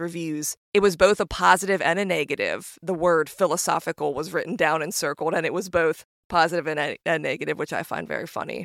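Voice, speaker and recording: The recording of this woman is very clean, with a silent background and a dry, close sound free of echo. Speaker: astrologer and podcast host. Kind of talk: podcast intro, light talk about herself. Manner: fast talker, high energy; warm, upbeat.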